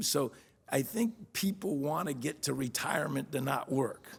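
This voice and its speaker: In an American accent, a man with a fairly high pitch and vocal fry makes very wide pitch swings. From Miami, Florida. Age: 60s. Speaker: real estate executive. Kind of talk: interview conversation. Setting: studio. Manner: halting.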